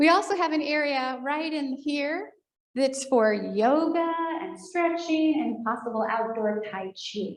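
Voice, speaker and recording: A woman is speaking. Her intonation is lively. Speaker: foundation staff presenter at senior living community. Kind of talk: presentation to residents. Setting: room with in-person audience and online viewers. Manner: fast.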